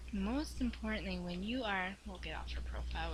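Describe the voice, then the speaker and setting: Audible room echo surrounds a woman speaking at a very fast pace. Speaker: online business coach. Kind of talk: screen-share tutorial.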